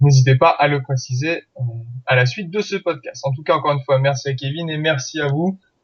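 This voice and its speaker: A somewhat breathy man's voice, fairly high in pitch, with a fairly quick pace and fairly even intonation. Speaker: podcast host. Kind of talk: podcast outro and announcements.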